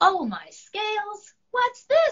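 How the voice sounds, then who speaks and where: Squeaky and extremely high, the voice belongs to a woman. She is doing a put-on character voice. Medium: read story. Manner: eager, boastful.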